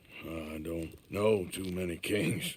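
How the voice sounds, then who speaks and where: In a put-on character voice, a man speaks with a very deep, low pitch, a raspy texture and fairly even intonation. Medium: video game. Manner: plainspoken, drawling.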